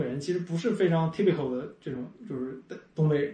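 Noticeable background noise accompanies this recording. A man talks at a fairly quick pace. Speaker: tech startup CEO and podcaster. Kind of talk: casual chat. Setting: over a meal at the host's home. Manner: very fast.

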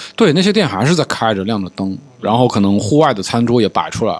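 A plain, everyday voice from a man at medium pitch, lively intonation and a fairly quick pace. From Changsha, Hunan, China. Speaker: podcast host. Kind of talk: casual chat. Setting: studio.

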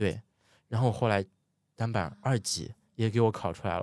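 On a very clean recording with a silent background, a man speaks at a moderate pace with a medium pitch. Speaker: ski instructor. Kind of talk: casual interview chat. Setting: studio, in person.

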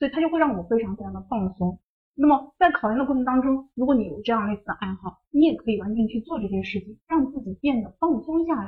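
A woman with a fairly high voice speaks very fast, with lively intonation and hardly any pauses. Her loudness swings widely. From northern China, Shanxi. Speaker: exam prep tutor. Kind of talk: online lecture.

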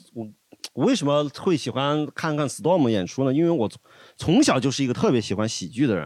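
This man has a Sichuan accent and a fairly high pitch. He talks at a fairly quick pace with lively intonation. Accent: Sichuan Mandarin. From Luzhou, Sichuan. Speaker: podcast guest. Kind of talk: casual chat.

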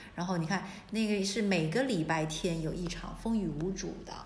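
Audible room echo surrounds a woman speaking at a moderate pace with a medium pitch. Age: 40s. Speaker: antique shop owner. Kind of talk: casual chat.

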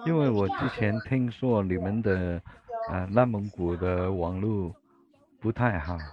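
Amid noticeable background noise, a man with a Cantonese accent speaks at a fairly low pitch and a fairly slow pace, with ordinary pitch variation. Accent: Cantonese-accented Mandarin. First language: Cantonese (speaking Chinese). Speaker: livestream host. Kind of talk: casual chat. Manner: halting.

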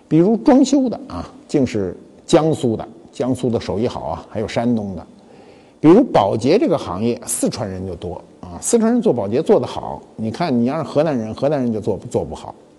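The voice moves at a moderate pace with big swings in loudness, over noticeable background noise. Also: man. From Beijing. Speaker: talk show host, museum founder. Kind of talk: casual monologue talk show. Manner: colloquial, animated.

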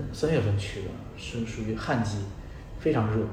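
Over noticeable background noise and audible room echo, a man at medium pitch talks at a moderate pace with fairly even intonation. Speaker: travel writer. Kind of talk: casual chat. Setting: in-person interview. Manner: halting.

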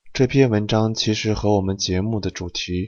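With a slight northern Shaanxi accent, a man speaks at a fairly slow pace with fairly even intonation. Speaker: podcast host. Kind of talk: casual chat. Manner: soft-spoken.

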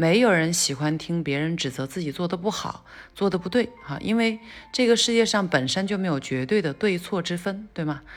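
Using an unremarkable speaking voice, a woman talks at a fairly quick pace with lively intonation. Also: fairly low pitch for a woman. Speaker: podcast teacher. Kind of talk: lecture. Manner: casual, filler-heavy.

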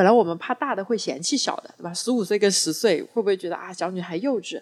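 In a very clean recording with a silent background, a woman of medium pitch talks at a very fast pace, her tone animated and her intonation lively. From Wuxi, Jiangsu. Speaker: public speaking coach. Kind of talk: casual chat.

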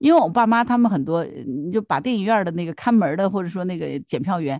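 The voice swings very widely in pitch, with a dry, close sound, no echo and a quiet background. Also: woman. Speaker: podcast co-host. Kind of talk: casual chat.

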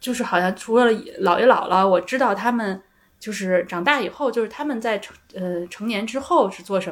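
At a moderate pace, a woman talks at a fairly high pitch with ordinary pitch variation in a plain, everyday voice. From Beijing. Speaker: psychological counselor. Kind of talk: casual chat.

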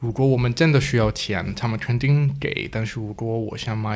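With a non-native accent, the speaker goes at a fairly slow pace amid audible room echo. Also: man. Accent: foreign accent in Mandarin. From Denmark. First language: Danish (speaking Chinese). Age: 20s. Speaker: guest, foreign husband. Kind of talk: casual chat. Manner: halting, repeats words.

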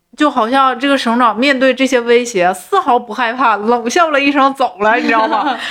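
A woman talks in a high-pitched voice with ordinary pitch variation. Background noise is noticeable. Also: moderate pace, hardly any pauses. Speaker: podcast co-host. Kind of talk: casual chat about a TV drama.

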